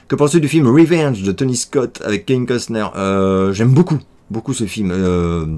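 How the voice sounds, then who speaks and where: At a moderate pace, this voice swings very widely in pitch. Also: man, medium pitch for a man. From France, Paris. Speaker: YouTuber answering viewer questions. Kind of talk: casual Q&A vlog. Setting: home office. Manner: hesitant with many fillers.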